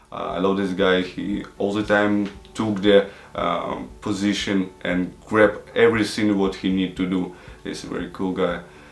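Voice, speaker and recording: A man speaks at a fairly slow pace in a fairly low pitch with monotone, flat intonation. Noticeable background noise and audible room echo fill the recording. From Ukraine, Odessa. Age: 20s. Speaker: travel show host interviewee. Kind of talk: interview. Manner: halting, many fillers.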